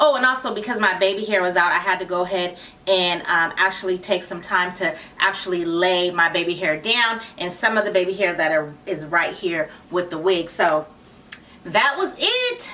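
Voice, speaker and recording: Noticeable background noise sits behind a woman speaking at medium pitch. Her pitch shifts in an ordinary way. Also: moderate pace. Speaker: wig reviewer and channel founder. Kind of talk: product review. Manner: casual, chatty.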